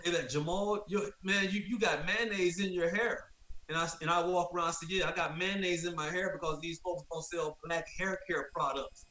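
A man with a high pitch, an American accent, fairly even intonation and a moderate pace, over noticeable background noise. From Florida, US. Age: 50s. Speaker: wrongful conviction advocate. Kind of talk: interview.

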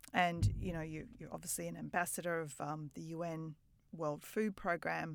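On a very clean recording with a silent background, a woman with an Australian accent speaks at a moderate pace in a very deep, low voice, her intonation fairly even. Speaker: podcast host. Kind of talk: interview conversation.

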